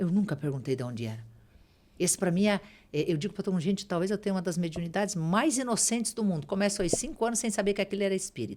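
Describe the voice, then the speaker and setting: A woman talks very fast at a medium pitch with lively intonation. Her voice has vocal fry. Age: 60s. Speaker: spiritual medium and author. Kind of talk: podcast interview.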